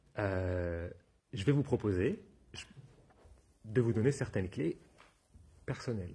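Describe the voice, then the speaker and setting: A man's somewhat breathy, fairly low voice, dark and mellow in tone, with ordinary pitch variation. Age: 40s. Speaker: therapist and trainer giving a talk. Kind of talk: conference talk with audience questions. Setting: stage with audience at a wellness fair. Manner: fast; halting, many repetitions and fillers.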